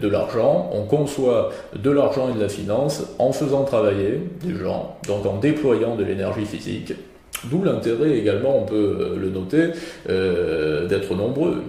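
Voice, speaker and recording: Noticeable background noise and audible room echo surround a man who talks at a very slow pace. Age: 20s. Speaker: philosopher and essayist. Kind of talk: interview.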